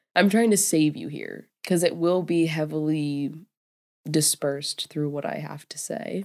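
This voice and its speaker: Over a very clean recording with a silent background, a woman speaks at a fairly slow pace in a very deep, low pitch. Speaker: podcast host. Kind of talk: casual monologue. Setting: alone in a room. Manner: chatty with frequent laughter.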